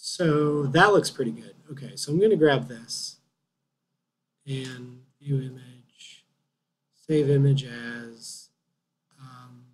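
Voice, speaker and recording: A man speaks very slowly, with long, frequent pauses and a fairly high pitch. His voice is somewhat breathy, with ordinary pitch variation. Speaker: 3D art instructor. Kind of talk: tutorial. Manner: halting.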